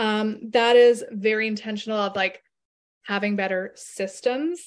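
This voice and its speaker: Against a quiet background, a woman speaks at a fairly high pitch and a fairly slow pace. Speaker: marketing podcast host and business coach. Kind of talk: podcast intro then recorded live Q&A talk. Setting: live video call. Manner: animated, lots of filler words.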